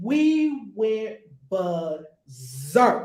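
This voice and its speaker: A woman's voice swings very widely in pitch. Some room echo can be heard. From New York. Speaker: spiritual teacher. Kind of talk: casual chat.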